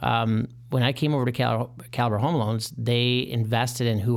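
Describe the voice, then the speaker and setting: A man with an American accent speaks at a moderate pace and medium pitch in a plain, everyday voice. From Michigan. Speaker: mortgage consultant. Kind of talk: casual interview.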